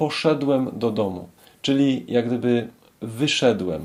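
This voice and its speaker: A man talks very slowly at a medium pitch, which varies in an ordinary way. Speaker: Polish language teacher. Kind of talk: language lesson. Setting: club cafe after a meetup.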